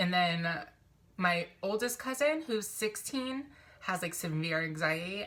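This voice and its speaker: There is lively intonation in this woman's medium-pitched voice. She speaks at a moderate pace. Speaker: vlogger. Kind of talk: personal vlog confession. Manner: mumbling, stumbling over words.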